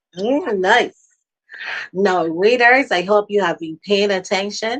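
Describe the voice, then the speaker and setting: Talking very slowly, a woman holds a medium pitch that varies in an ordinary way. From Barbados. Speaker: children's show host. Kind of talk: interview.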